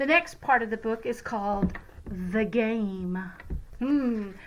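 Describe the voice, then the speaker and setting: A woman speaks in a warm, playful tone at a fairly high pitch. Noticeable background noise can be heard. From Louisiana, USA. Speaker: retired teacher. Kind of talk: casual talk to children.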